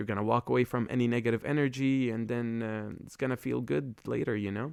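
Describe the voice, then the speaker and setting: The man's fairly quick speech comes through on a very clean recording with a silent background. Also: dry, close sound with no echo. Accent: Arabic. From Lebanon, Beirut. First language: Arabic. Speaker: podcast host. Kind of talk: casual monologue. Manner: halting, many fillers.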